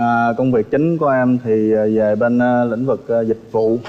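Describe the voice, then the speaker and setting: Music plays in the background as a man speaks. His pitch is medium and his intonation monotone and flat. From Mekong Delta, southern Vietnam. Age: 30s. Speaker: dating show contestant. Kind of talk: TV dating show self-introduction. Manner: halting, many fillers.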